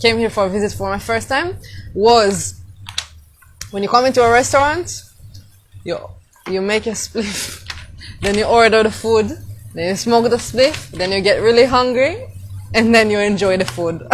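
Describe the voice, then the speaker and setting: A woman speaks at a moderate pace with long, frequent pauses. Her pitch is fairly high with ordinary variation, over noticeable background noise. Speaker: travel vlogger. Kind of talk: casual live stream talk to camera. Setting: outdoors, windy.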